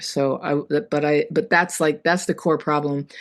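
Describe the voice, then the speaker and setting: Speaking at a fairly quick pace, a woman with an American accent has a very deep, low pitch. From US West Coast, Berkeley California. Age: 60s. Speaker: author and trauma recovery coach. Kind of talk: podcast interview, personal story.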